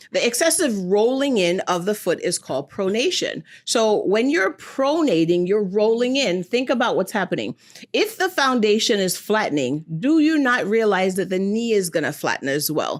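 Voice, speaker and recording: A woman with a slight Jamaican accent, animated in tone, with very wide pitch swings at a moderate pace in a very clean recording with a silent background. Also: fairly high pitch for a woman, very even loudness. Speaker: foot and ankle doctor. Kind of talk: TV interview.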